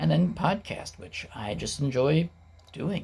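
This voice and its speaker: Somewhat breathy in tone, a man's voice keeps to a moderate pace. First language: not English. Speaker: YouTuber and podcaster. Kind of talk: casual vlog monologue. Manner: conversational, with fillers.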